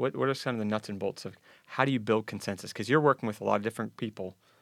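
Captured in a dry, close sound with no echo and a very clean recording with a silent background, a man speaks at a very fast pace. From western Pennsylvania. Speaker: podcast host. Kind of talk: interview.

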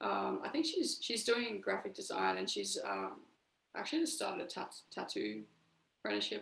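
An Australian accent marks the speech. It moves at a moderate pace. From Brisbane, Australia. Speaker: musician in a band. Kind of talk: casual interview.

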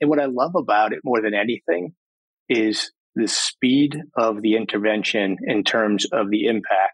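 A man's voice comes through dry and close with no echo, his pitch varying in an ordinary way. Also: very even loudness. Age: 50s. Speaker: company CEO. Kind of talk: interview. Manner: animated.

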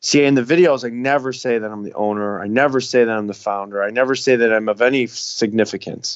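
Fairly quick and fairly even in intonation, a man speaks at a medium pitch in a plain, everyday voice with an American accent. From Chicago. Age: 30s. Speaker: tiny home builder. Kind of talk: podcast interview.

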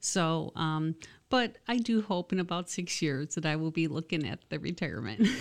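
With an American accent, the speaker moves at a moderate pace with lively intonation and vocal fry. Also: woman, fairly low pitch for a woman. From Michigan, US. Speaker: college dean and dental hygienist. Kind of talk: radio interview.

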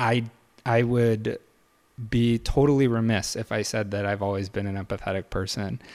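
A man with an American accent speaks in an ordinary speaking voice at a moderate pace. His pitch is fairly low and his intonation fairly even. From Michigan, near Detroit. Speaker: realtor. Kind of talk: interview.

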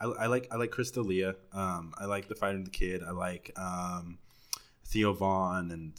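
A man's very deep, low voice with an American accent and fairly even intonation, on a very clean recording with a silent background. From Texas, Dallas. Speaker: podcaster. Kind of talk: casual chat.

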